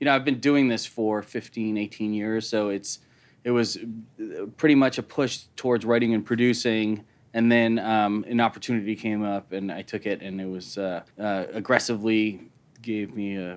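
In a normal speaking voice, a man with an American accent talks at a fairly low pitch and a moderate pace with fairly even intonation. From US Midwest, Chicago. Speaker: writer and film director. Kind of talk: casual interview. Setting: studio.

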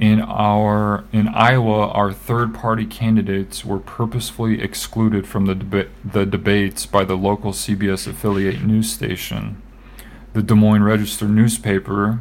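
The man's pitch is fairly low, and his pace is moderate. He speaks with monotone, flat intonation. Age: 30s. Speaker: podcast co-host. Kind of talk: casual chat.

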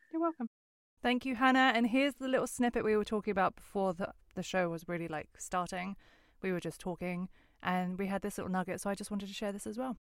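Talking very fast in an animated tone, a woman with an Essex accent uses medium pitch and ordinary pitch variation, recorded very cleanly against a silent background with a dry, close sound and no echo. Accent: southern English (Essex). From England, Westcliff (Essex). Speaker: podcast host. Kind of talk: casual interview chat. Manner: animated, frequent laughter.

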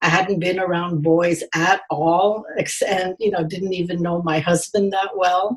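A woman's medium-pitched voice at a fairly slow pace, with monotone, flat intonation. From India (Madras/Chennai). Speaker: memoirist and university media studies teacher. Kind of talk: interview. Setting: remote call.

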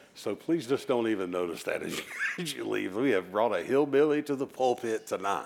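With an ordinary speaking voice, a man of medium pitch talks at a fairly quick pace with lively intonation. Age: 40s. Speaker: visiting preacher. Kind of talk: sermon. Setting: church. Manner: warm, conversational, humorous.

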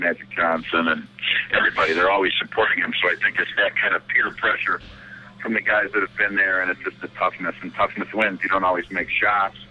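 Noticeable background noise fills the clip as a man speaks at a fairly quick pace. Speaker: high school basketball coach. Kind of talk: interview, sports discussion.

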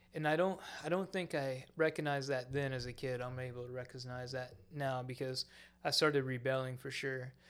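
A man with an American accent and an unremarkable speaking voice, medium in pitch, fairly quick and fairly even in intonation, on a very clean recording with a silent background. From Florida Panhandle, US South. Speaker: church member sharing testimony. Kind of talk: testimony. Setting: studio with microphones.

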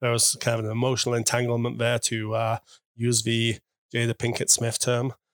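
A man's monotone, flat delivery at a fairly quick pace. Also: medium pitch for a man. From UK. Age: 40s. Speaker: guest in cuckold marriage. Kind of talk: interview. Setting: in person.

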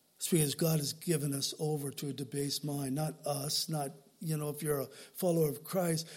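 A man with an American accent speaks at a fairly quick pace. His pitch is fairly high and his voice somewhat breathy. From Southern California. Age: old. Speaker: pastor. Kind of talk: sermon. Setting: church. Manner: animated.

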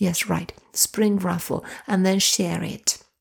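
Soothing and dark, mellow in tone, a woman's medium-pitched voice keeps fairly even intonation on a very clean recording with a silent background. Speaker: meditation coach and podcast host. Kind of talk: guided meditation, gently leading the listener out of a forest visualization. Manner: slow, soothing, unhurried cues; warm and effusive, with hesitant repetitions when chatting.

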